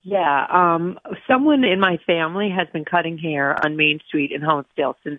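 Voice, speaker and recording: A woman talks in a normal speaking voice at a moderate pace. Her pitch is fairly low, with ordinary pitch variation. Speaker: barber shop owner. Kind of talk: casual radio interview.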